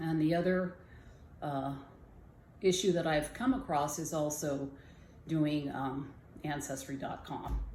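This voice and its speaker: A woman with a very deep, low pitch speaks at a fairly slow pace with long, frequent pauses and ordinary pitch variation, her voice carrying audible room echo. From Southern California, Jamul reservation. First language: Kumeyaay. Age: 60s. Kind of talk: personal storytelling. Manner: halting.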